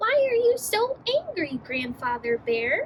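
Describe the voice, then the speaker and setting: This squeaky, put-on character voice moves at a fairly slow pace and swings very widely in pitch. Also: woman. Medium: read story. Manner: friendly.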